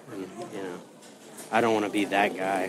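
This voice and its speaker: In an American accent, a man talks at a fairly low pitch with monotone, flat intonation over noticeable background noise. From Indiana. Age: middle-aged. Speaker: podcast co-host. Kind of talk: casual chat.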